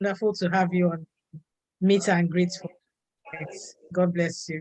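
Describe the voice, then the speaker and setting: Somewhat breathy, fairly low female voice, fairly slow and monotone, with flat intonation. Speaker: online meetup host. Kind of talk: casual chat.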